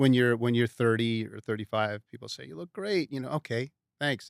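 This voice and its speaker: A man with an American accent speaks at a medium pitch and moderate pace with ordinary pitch variation, in a very clean recording with a silent background. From New York (Westchester). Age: 60s. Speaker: customer giving a testimonial. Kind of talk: testimonial interview. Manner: casual, conversational with hesitations.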